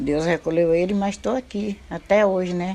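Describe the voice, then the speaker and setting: A woman speaks at a fairly slow pace with a fairly low pitch. Her tone is dark and mellow. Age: 70s. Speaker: retired fisherwoman. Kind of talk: documentary interview testimony.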